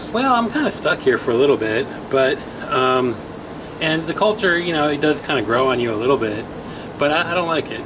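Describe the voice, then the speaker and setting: A man with an American accent talks at a very fast pace with lively intonation. Noticeable background noise runs under his voice. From Virginia. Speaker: law student. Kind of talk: casual interview. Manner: halting, many fillers.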